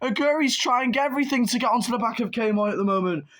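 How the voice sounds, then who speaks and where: The speaker sounds excited and animated, with noticeable background noise behind the voice. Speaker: sim racing league commentator. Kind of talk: live commentary. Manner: excited, animated.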